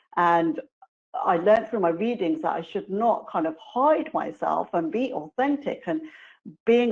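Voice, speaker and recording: Very wide pitch swings in a strong British accent. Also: woman. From England, London. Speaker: committee member speaker. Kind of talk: webinar presentation.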